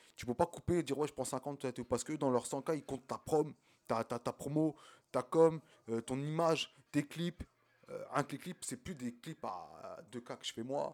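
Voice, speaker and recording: A man's normal speaking voice, a normal speaking voice with fairly high pitch, ordinary pitch variation and a fairly slow pace. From France, Champigny (Val-de-Marne, Paris suburbs). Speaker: independent rapper. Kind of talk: casual chat.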